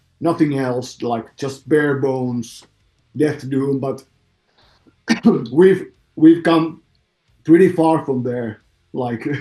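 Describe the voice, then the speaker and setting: A man talks at a very slow pace and a fairly high pitch, with ordinary pitch variation. He leaves long, frequent pauses while music plays in the background. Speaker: metal band vocalist. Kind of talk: interview. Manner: halting.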